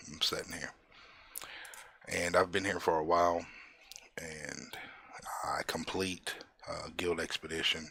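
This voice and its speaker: Over noticeable background noise, a man speaks at a fairly slow pace with long, frequent pauses and big swings in loudness. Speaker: gaming tutorial creator. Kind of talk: tutorial. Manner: casual with filler words.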